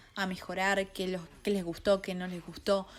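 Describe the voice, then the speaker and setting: With music playing in the background, a woman speaks at a medium pitch. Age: 20s. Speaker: podcast host, film critic. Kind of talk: podcast monologue. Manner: fast; animated.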